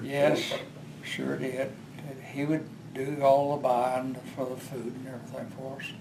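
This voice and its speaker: Noticeable background noise sits behind a man with a medium pitch and monotone, flat intonation, whose loudness swings widely. He talks at a fairly slow pace with long, frequent pauses. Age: 80s+; old. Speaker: retired oil field supervisor. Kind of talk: interview answer.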